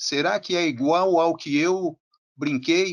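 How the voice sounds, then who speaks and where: Very slowly, a man with a high pitch speaks with lively intonation. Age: 60s. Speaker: physical education teacher. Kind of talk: online panel discussion. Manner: unscripted, spontaneous.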